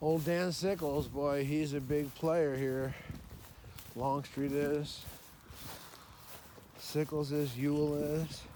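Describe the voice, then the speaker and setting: A man's fairly high voice in a flat monotone, at a very slow pace with long, frequent pauses and audible room echo. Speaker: battlefield walk vlogger. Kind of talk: casual self-talk while walking. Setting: outdoors on a battlefield walk. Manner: loud.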